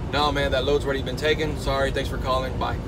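Loud background noise fills the recording. The talking proceeds at a moderate pace. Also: man. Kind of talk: casual vlog chat. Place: car. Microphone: phone near.

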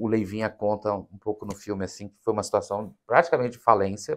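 With a quiet background, a man speaks in an unremarkable speaking voice, fairly low in pitch and fairly even in intonation. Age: 30s. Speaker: documentary film director; interview guest. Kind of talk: interview. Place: studio.

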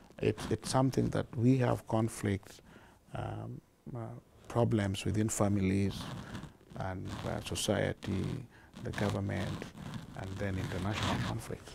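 A man speaks at a fairly slow pace with long, frequent pauses, in a dry sound with no echo and with noticeable background noise. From Kenya. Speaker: charity founder and director. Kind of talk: interview answer. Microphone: lapel.

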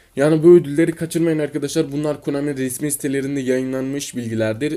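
A man speaks with a dark, mellow tone at a fairly quick pace. The recording is very clean, with a silent background. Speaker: mobile gaming YouTuber. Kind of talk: gaming news video, partly reading announcements aloud. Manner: animated, hesitant fillers.

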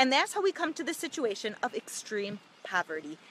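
A raised, projected voice comes through dry with no echo over light background noise. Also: woman. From United States. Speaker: charity representative. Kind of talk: livestream address to viewers. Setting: outdoors on location. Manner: animated. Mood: earnest, religious. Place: street. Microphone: phone near.

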